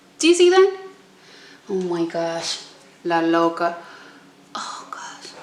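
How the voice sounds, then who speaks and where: A woman speaks very slowly at a fairly high pitch with very wide pitch swings, amid audible room echo and noticeable background noise. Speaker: beauty vlogger. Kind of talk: makeup tutorial.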